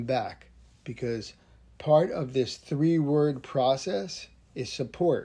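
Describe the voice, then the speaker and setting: Against a silent background in a very clean recording, a man speaks very slowly in a fairly high pitch with ordinary variation, his dark, mellow tone somewhat breathy. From New Jersey. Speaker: podcast host, firearms trainer. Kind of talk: solo podcast monologue. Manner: casual, conversational.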